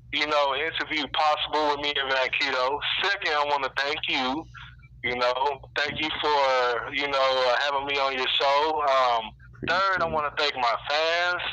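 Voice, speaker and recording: A man speaks at a moderate pace with a fairly high pitch and fairly even intonation over noticeable background noise. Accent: American. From Texas, Lubbock. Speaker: rapper. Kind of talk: interview. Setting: phone call. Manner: halting, many fillers.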